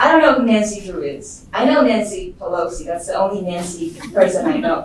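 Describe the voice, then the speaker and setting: A woman with a non-native accent speaks at a fairly quick pace with lively intonation. Audible room echo and noticeable background noise surround her voice. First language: not English. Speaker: machine learning engineer, improviser. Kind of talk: lecture. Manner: casual.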